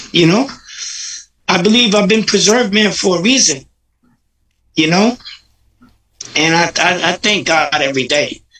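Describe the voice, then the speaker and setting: A man projects his high voice with a bright, sharp tone and lively intonation, keeping a moderate pace and very even loudness while leaving long, frequent pauses. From Paterson, New Jersey, Puerto Rican family. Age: 60s. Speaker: recovery advocate. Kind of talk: interview. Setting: livestream.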